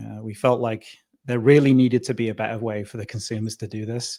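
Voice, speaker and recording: Delivered in a British accent, the voice has a dark, mellow tone and a fairly quick pace. Its intonation stays monotone and flat. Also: man. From northern England. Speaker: tech company founder and CEO. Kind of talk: interview. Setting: radio studio.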